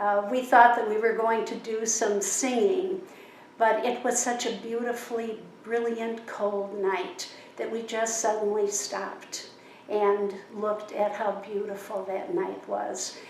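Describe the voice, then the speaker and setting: A woman's fairly high voice in an American accent, fairly slow and fairly even in intonation, with audible room echo and noticeable background noise. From US Midwest, Chicago. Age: 70s. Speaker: interviewee. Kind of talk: interview. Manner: thoughtful, with pauses and fillers.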